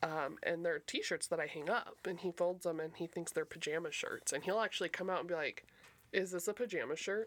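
Speaking in a normal speaking voice with an American accent, a woman talks at a fairly low pitch and a fairly quick pace on a very clean recording with a silent background. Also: ordinary pitch variation. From local to the show's city (Reno area, Nevada). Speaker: returning guest, former co-host. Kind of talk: casual chat.

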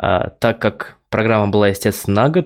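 Talking at a fairly quick pace, a man has a normal speaking voice. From Russia, Samara. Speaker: front-end developer, podcast co-host. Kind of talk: casual chat. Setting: remote recording, virtual studio.

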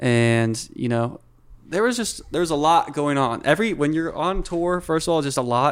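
The voice belongs to a man. His speech comes in an American accent. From US Pacific Northwest, Whidbey Island, Washington. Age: 20s. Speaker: photographer and video director. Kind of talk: casual chat.

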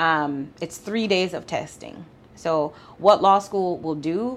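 A fairly low-pitched woman's voice with ordinary pitch variation and a slight Jamaican accent. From Jamaica (Mandeville). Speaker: family law attorney. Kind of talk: interview.

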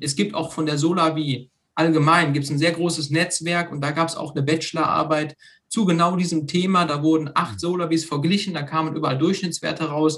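A man with a plain, everyday voice talks fairly quickly, his fairly high pitch held to fairly even intonation. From Germany, Lower Rhine (Meerbusch). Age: 30s. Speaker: hobby farmer, association founder. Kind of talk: casual interview.

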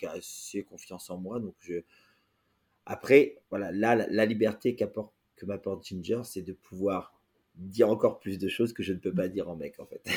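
A man talks in a normal speaking voice, his pitch fairly low and varying in an ordinary way. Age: 40s. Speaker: drag queen performer. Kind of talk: casual interview.

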